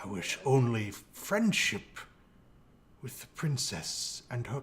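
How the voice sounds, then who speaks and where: A put-on character voice at a very slow pace. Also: man, medium pitch for a man. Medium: actual play. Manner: polite, formal, refined.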